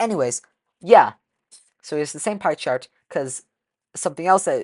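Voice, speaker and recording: A woman's voice with very wide pitch swings, dry and close with no echo, over a quiet background. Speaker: gaming YouTuber, speedrunner. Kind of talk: reaction commentary. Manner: stuttering, self-correcting; casual, conversational.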